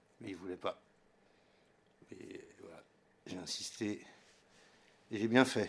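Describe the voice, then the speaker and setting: A man speaks at a very slow pace with long, frequent pauses. His loudness swings widely. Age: 60s. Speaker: retired sound engineer. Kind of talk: casual chat.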